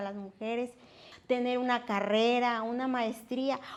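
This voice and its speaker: A woman's fairly high voice keeps fairly even intonation at a moderate pace. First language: Nahuatl (speaking Spanish). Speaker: interpreter and institute worker. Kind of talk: interview.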